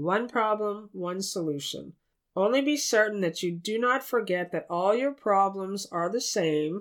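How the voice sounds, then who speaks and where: An unremarkable speaking voice at a fairly slow pace with lively intonation. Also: woman, medium pitch for a woman. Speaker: spiritual teacher. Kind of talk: guided meditation; spiritual teaching, addressing listeners directly. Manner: slow, soft, calm and soothing, with long pauses; gentle, tender, reverent.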